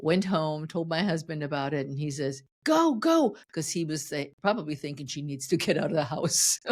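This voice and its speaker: An animated woman's voice at a very deep, low pitch, with hardly any pauses and a very clean recording against a silent background. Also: ordinary pitch variation, moderate pace. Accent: German. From Germany. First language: German. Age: 60s. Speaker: fitness coach. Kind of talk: podcast interview.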